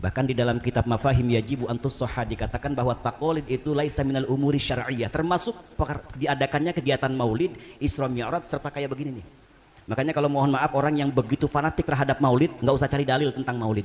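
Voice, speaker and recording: A man at medium pitch with fairly even intonation and a very fast pace. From Jakarta area (Rawa Bokor, Betawi), long in East Java. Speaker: Islamic preacher. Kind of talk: sermon. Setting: prayer hall gathering with audience.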